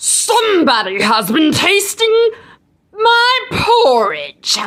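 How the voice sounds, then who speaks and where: In a put-on character voice, a female-sounding speaker growls at an extremely high pitch and a very slow pace. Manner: growling.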